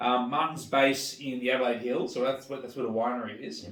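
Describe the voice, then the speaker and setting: Against noticeable background noise, a man with an Australian accent speaks at a moderate pace with ordinary pitch variation. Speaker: wine channel host. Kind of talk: casual interview hosting.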